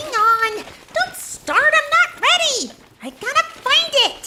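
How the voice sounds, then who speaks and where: This female-sounding, cartoonish character voice is squeaky and extremely high-pitched, with very wide pitch swings. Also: fairly slow pace. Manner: excitable.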